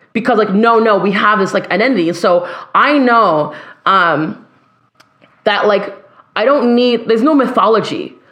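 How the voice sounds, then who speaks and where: A woman's fairly high voice with a Canadian accent, at a moderate pace with long, frequent pauses, ordinary pitch variation and very even loudness, plus audible room echo. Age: 30s. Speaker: singer and educator. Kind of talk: casual chat.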